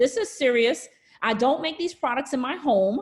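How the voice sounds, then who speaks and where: A woman speaks in a high pitch with lively intonation and a Brooklyn accent. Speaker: nurse practitioner and skin care entrepreneur. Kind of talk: webinar business presentation. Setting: online live presentation from home. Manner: casual, chatty.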